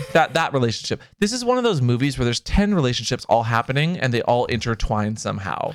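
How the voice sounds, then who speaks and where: Over background music, a man with an American accent talks very fast at a medium pitch, his intonation lively. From US Pacific Northwest. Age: 30s. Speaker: podcast co-host. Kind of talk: casual chat. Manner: animated.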